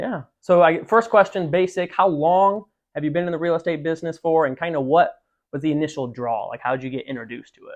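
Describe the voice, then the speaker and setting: A man with a high pitch speaks at a very fast pace. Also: ordinary pitch variation, big swings in loudness. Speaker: interviewer and insurance agent hosting a market update. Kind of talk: interview host, conversational talk.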